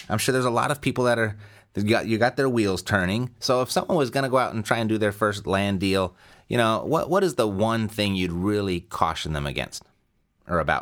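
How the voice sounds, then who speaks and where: A man with an unremarkable speaking voice talks at a fairly quick pace and a fairly low pitch, on a very clean recording with a silent background. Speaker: podcast host. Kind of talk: interview. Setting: studio.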